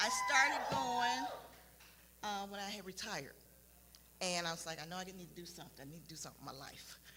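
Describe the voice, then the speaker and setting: A woman talks very fast at medium pitch with lively intonation, leaving long, frequent pauses. Her loudness swings widely, with audible room echo and music in the background. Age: 60s. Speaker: retiree, church fitness class member. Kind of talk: testimony. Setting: live stream from church warehouse.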